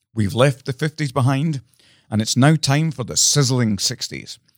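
A man talks at a moderate pace in a Scottish accent, with ordinary pitch variation. The sound is dry and close, with no echo. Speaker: podcast co-host. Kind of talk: casual chat.

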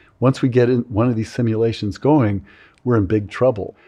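With an American accent, a man speaks at a moderate pace in a dark, mellow tone and fairly even intonation against a quiet background. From California. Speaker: psychology professor. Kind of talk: interview. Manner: halting.

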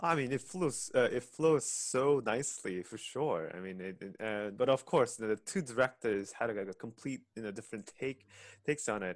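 A man talks at a moderate pace with lively intonation and a medium pitch. He has an ordinary speaking voice. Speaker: podcast host and ensemble pianist. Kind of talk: casual interview.

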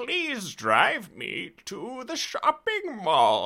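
In a whiny, put-on character voice at an extremely high pitch, a man speaks at a very slow pace with very wide pitch swings. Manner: tired, annoying, whiny.

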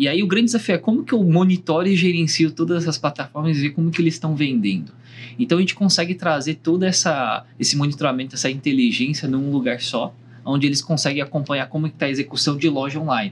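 A man talks very fast in a fairly high, somewhat breathy voice. His loudness stays very even, and his pitch varies in an ordinary way. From Brazil. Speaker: startup founder. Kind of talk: panel discussion. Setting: recording room at a trade summit.

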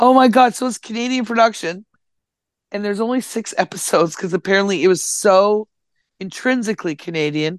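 A woman with an unremarkable speaking voice talks at a fairly quick pace and medium pitch against a quiet background. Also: ordinary pitch variation. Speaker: guest sharing life updates. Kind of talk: casual chat. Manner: casual, profane, joking.

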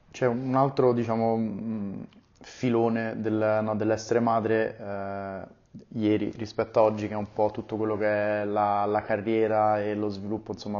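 The voice moves at a moderate pace with monotone, flat intonation. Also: man. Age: 30s. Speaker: podcast host. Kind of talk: casual interview. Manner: hesitant, many fillers.

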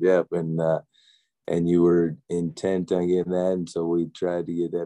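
In a dry, close sound with no echo, a man with an American accent speaks at a moderate pace in a dark, mellow tone. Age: 40s. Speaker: father and former screenwriter. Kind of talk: casual chat.

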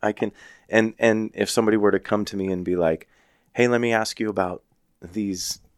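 This man has a normal speaking voice with a fairly low pitch and a fairly quick pace. The sound is dry and close, with no echo. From Arizona. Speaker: firefighter and paramedic. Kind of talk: casual chat.

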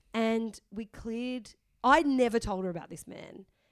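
In a very clean recording with a silent background, a woman speaks with an Australian accent and ordinary pitch variation. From Sydney, northern beaches, Australia. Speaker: comedian. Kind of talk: casual chat. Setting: studio.

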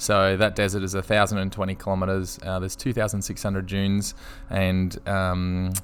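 A man with an Australian accent, fairly low in pitch, at a fairly quick pace. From Australia, Brisbane. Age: 30s. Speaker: motorbike racer and teacher. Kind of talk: casual interview. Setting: shared workspace.

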